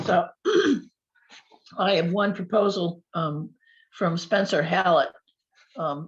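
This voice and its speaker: Long, frequent pauses break up speech that moves at a very slow pace. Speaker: fire district administrator. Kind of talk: committee meeting report. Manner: halting with many fillers.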